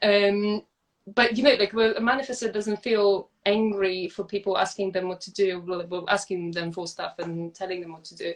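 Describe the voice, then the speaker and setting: Speaking at a moderate pace with a non-native accent, a woman at medium pitch keeps her intonation fairly even while her loudness swings widely. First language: not English. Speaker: podcast guest. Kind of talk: casual chat. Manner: halting, with frequent repetitions.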